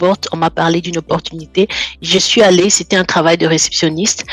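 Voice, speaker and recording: A woman talks very fast in a fairly low, monotone, flat voice. The sound is dry and close with no echo, with noticeable background noise. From French-speaking country. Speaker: guest sharing life testimony. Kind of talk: personal testimony in interview.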